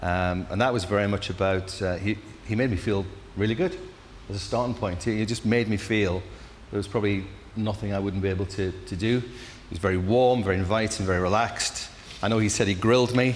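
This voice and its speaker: This man talks at a fairly quick pace with a Geordie accent. His intonation stays fairly even. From northeast England, Newcastle. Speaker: incoming managing director. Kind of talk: interview.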